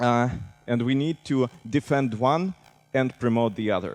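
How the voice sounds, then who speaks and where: With a Russian accent, a man speaks at a moderate pace with medium pitch and ordinary pitch variation, in a dry, close sound with no echo as music plays in the background. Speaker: civic tech director. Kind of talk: conference talk.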